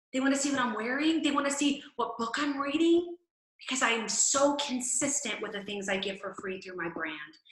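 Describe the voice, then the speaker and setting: Audible room echo surrounds a woman speaking at a moderate pace in a fairly high pitch. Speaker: fitness coach. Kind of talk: team call training talk. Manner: loud; animated.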